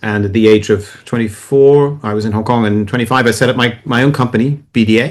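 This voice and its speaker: A man speaks at a fairly quick pace with hardly any pauses. His medium pitch stays in a fairly even intonation. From England, then US (New Jersey) and France. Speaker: author and China tech adviser. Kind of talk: podcast interview. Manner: fast.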